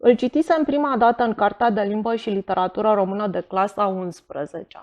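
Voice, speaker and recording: A woman with a medium pitch and lively intonation speaks at a moderate pace in a plain, everyday voice. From Romania, Bucharest. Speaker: writer. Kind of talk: reading aloud.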